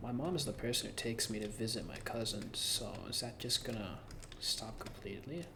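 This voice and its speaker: Noticeable noise fills the background. The talking goes along fairly quickly. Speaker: gaming youtuber. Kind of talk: casual vlog monologue.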